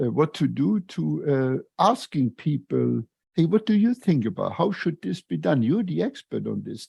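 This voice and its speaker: A man with a Luxembourgish accent, fairly high in pitch, dark and mellow in tone, at a fairly slow pace, in a dry, close sound with no echo and a quiet background. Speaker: retired engineer and lean consultant, author. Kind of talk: podcast interview. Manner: halting, many fillers.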